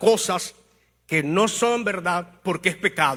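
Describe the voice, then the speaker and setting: Raised and projected, a man's high-pitched voice has a bright, sharp tone, ordinary pitch variation and a very slow pace. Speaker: pastor. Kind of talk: sermon.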